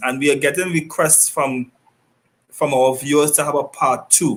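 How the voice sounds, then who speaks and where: Here a man speaks at a fairly high pitch. His pitch varies in an ordinary way. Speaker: sports talk show host. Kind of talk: online talk show hosting. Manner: fast.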